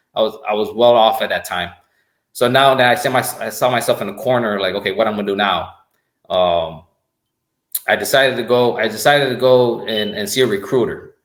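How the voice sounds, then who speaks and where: Speaking at a fairly quick pace with a Spanish accent, a man with a medium pitch keeps his intonation fairly even but leaves long, frequent pauses. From Puerto Rico. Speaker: army command sergeant major. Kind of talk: podcast interview. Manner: halting, many repetitions and fillers.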